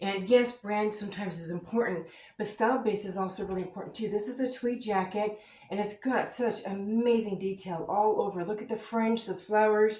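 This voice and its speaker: Her pace is fairly quick and her intonation fairly even. This woman's voice sits at a fairly high pitch. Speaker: full-time reseller and haul vlogger. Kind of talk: casual haul video.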